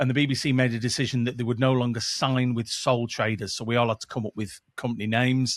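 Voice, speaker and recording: Someone speaks at a very fast pace in a Mancunian accent, with monotone, flat intonation. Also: man, medium pitch for a man. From northern England, Manchester. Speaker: podcast producer and former radio presenter. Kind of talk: casual interview chat.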